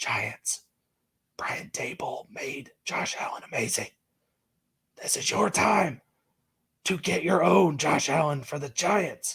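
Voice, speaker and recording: In a put-on character voice, a man whispers raspily at a fairly slow pace. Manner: whispering.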